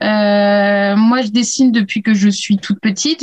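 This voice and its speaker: A woman talks at a fairly slow pace. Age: 30s. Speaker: illustrator. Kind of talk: casual interview. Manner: hesitant, many fillers.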